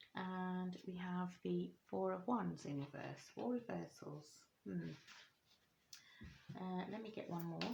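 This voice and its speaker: A woman's very slow delivery full of long, frequent pauses, with audible room echo. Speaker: tarot reader. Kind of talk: tarot reading video. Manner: hesitant, many fillers.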